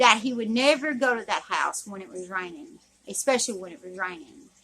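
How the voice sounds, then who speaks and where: A woman speaks with a Southern US accent. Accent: southern drawl. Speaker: YouTuber. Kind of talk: storytelling. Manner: halting.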